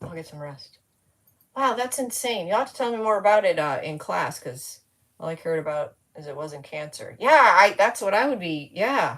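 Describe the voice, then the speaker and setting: A woman speaks at medium pitch and a moderate pace. Her pitch swings very widely and her loudness shifts a lot. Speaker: crafting livestream host. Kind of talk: casual livestream chat. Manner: slurring.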